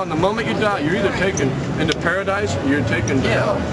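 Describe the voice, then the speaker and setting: Loud background noise surrounds a man speaking at a very fast pace. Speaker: street preacher. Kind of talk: street preaching, confrontational sermon. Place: street. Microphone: camera far.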